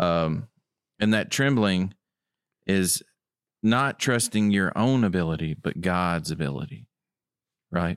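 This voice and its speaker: A resonant voice with a West Tennessee accent at a very slow pace, with long, frequent pauses and very even loudness, dry and close with no echo, in a very clean recording over a silent background. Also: man, very deep, low pitch for a man. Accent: US Southern (West Tennessee). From West Tennessee (Tipton County). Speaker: guest sharing testimony, Bible study. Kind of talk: Bible study discussion.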